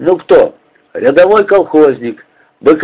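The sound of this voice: An unforced reading voice over a quiet background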